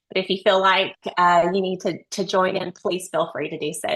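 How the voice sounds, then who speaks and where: A woman's bright, sharp tone with a Southern US accent. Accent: Southern drawl, deep but controlled. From Texas. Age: 40s. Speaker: nurse researcher, webinar speaker. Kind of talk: webinar presentation.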